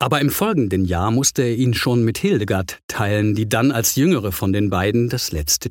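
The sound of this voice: The reading voice here sounds unforced.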